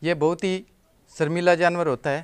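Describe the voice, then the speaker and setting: A man speaks at a fairly slow pace. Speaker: vlogger. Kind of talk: casual vlog chat. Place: street. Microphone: phone near.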